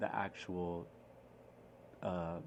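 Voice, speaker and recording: A man talks in a very deep, low voice. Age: 20s. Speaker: podcast host. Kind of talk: casual monologue. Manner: halting; animated.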